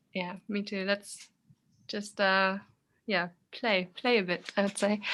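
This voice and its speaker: A woman with a German accent speaks very slowly in a bright, sharp, medium-pitched voice with flat, monotone intonation on a very clean recording with a silent background. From Germany. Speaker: movement artist. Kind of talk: casual chat.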